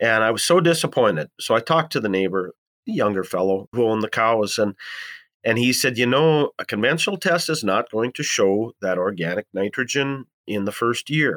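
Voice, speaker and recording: With an Upper Midwest accent, a man speaks at a moderate pace and medium pitch, his intonation lively. The recording is very clean with a silent background and a dry, close sound with no echo. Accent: Upper Midwest American. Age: 60s. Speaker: farmer. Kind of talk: interview.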